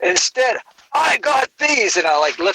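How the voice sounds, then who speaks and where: Raising and projecting his voice, a man talks at a fairly slow pace with very wide pitch swings, in a dry, close sound with no echo. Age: 60s. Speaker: comedian. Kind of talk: casual chat.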